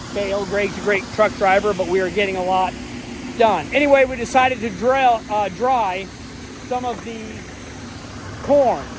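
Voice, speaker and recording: The speech moves at a moderate pace, broken by long, frequent pauses. Noticeable background noise sits behind it. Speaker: farmer. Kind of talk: casual farm vlog narration. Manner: loud, yelling with earplugs in.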